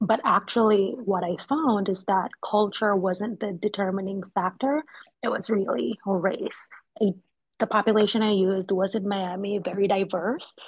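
A woman's somewhat breathy voice carries a slight Jamaican accent. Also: medium pitch for a woman, ordinary pitch variation, moderate pace. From Jamaica (Kingston). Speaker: licensed counselor and mental health content creator. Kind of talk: expert interview conversation.

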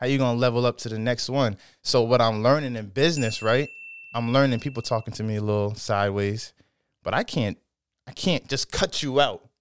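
This man has a normal speaking voice at a medium pitch, talking at a fairly quick pace with ordinary pitch variation. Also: dry, close sound with no echo. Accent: American. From Norwich, Connecticut. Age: 20s. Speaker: podcast guest, small business owner. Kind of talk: casual chat.

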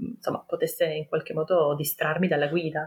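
The speaker is a woman. There is some breathiness in her voice. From Turin, northern Italy. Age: 30s. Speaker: kindergarten teacher sharing birth story. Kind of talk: personal testimony.

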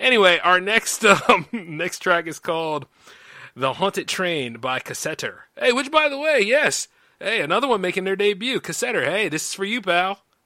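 A man speaks in a raised, projected voice at a moderate pace with a high pitch. His tone is bright and sharp, with very wide pitch swings. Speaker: radio host. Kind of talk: casual chat. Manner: animated.

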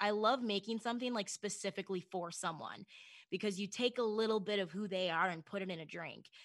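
An unremarkable speaking voice from a woman with an American accent, medium in pitch with ordinary pitch variation, at a fairly quick pace over a quiet background. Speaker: broadcaster and bartender. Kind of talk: casual interview chat.

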